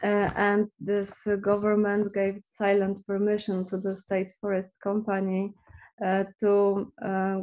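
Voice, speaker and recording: A very slow, monotone delivery with flat intonation, a dark, mellow tone and a Polish accent. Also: woman, medium pitch for a woman. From Poland. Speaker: visual artist and activist. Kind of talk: artist presentation in interview.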